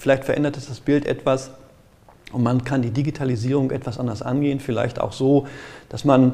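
Talking at a very fast pace, a man uses a medium-pitched, dark, mellow voice with fairly even intonation. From Ruhr area, Germany (Gelsenkirchen). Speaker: IT security auditor. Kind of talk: interview. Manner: halting.

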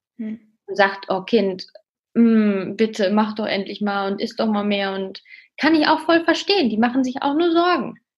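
A woman with a fairly high pitch speaks at a fairly slow pace, somewhat breathy. Her intonation is lively. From Münsterland, northwestern Germany. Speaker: student and fitness trainer, eating disorder survivor. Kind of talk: interview, personal testimony.

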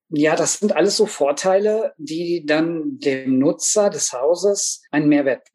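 Speaking at a very slow pace with hardly any pauses, a man uses a high pitch and lively intonation. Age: 40s. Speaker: master carpenter and expert witness. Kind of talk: podcast interview.

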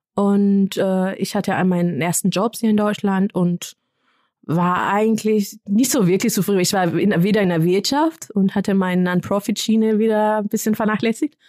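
A woman with a medium-pitched, dark and mellow tone talks at a moderate pace with ordinary pitch variation and very even loudness, in a dry, close recording with no echo that is very clean over a silent background. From Kenya. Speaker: development worker. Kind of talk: interview. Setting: studio.

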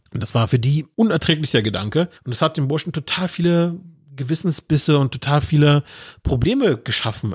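A man talks at a fairly quick pace with lively intonation and a somewhat breathy voice. The recording is very clean, with a silent background. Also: fairly high pitch for a man. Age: 40s. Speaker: podcast guest. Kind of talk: casual chat.

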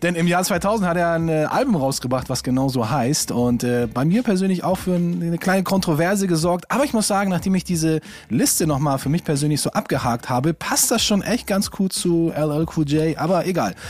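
The delivery moves at a fairly quick pace with lively intonation and very even loudness. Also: man, high pitch for a man. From Stuttgart, southwest Germany. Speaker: hip-hop DJ. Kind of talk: casual chat.

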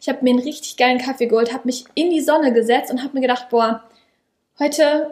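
A woman with a high-pitched voice talks fairly quickly, her intonation fairly even. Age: 20s. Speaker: coach. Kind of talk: casual chat. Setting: sitting at a table sharing one microphone.

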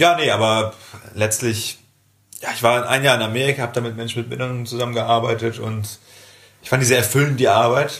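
A man talks at a very fast pace with fairly even intonation, big swings in loudness, and long, frequent pauses. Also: medium pitch for a man. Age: 20s. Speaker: nursing trainee and podcast co-host. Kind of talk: casual chat.

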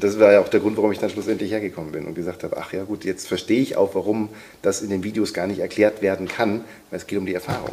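This man's voice sits fairly low, with a dark, mellow tone. He speaks very fast in a flat monotone. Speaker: voice-over artist and sound designer. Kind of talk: casual chat.

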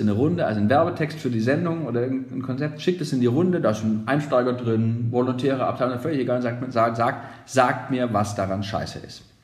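Amid noticeable background noise and audible room echo, a man with a medium pitch talks at a fairly quick pace with ordinary pitch variation. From Germany, Nuremberg (Franconia). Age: 40s. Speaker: radio consultant, former radio presenter. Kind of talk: podcast interview.

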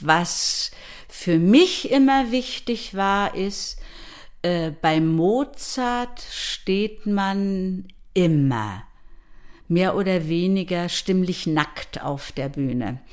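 A woman's medium-pitched voice with lively intonation, at a very slow pace with long, frequent pauses. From Mecklenburg-Vorpommern, Schwerin. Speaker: opera singer and voice professor. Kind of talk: interview.

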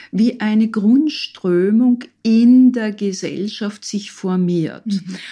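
Against a quiet background, a woman speaks very slowly in a somewhat breathy, dark, mellow voice with lively intonation. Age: 60s. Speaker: physician and psychotherapist, author. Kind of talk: interview. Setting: studio.

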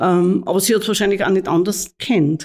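The tone is dark and mellow. Intonation stays fairly even. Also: woman. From Austria, Mühlviertel (Upper Austria). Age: 60s. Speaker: nun and head of a religious order. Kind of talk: interview. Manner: halting.

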